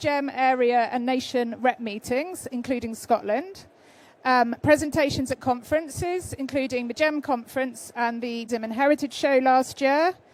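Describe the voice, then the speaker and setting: With a British accent, a woman talks at a fairly slow pace, her high pitch showing ordinary variation. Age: 50s. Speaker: freelance researcher. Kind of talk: conference presentation. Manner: hesitant, many fillers.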